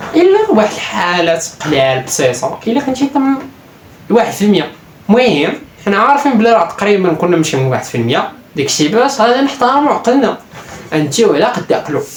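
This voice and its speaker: Someone talks at a fairly quick pace with a Moroccan accent. Noticeable background noise can be heard. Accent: Moroccan Darija. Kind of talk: casual self-improvement talk to camera.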